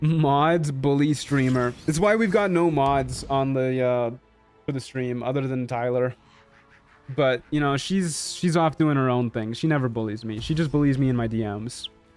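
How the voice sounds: Music plays in the background as a man with a Canadian accent speaks at a medium pitch with ordinary pitch variation. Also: moderate pace.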